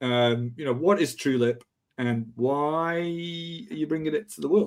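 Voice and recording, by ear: Fairly high in pitch, a man speaks at a fairly slow pace with fairly even intonation.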